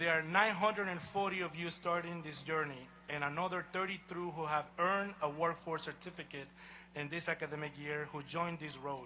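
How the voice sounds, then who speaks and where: In a Honduran accent, a man speaks in a high voice with a bright, sharp tone. His pace is fairly quick and his intonation fairly even. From Honduras. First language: Spanish. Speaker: college president. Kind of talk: commencement speech. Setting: outdoor stadium ceremony with audience. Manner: formal.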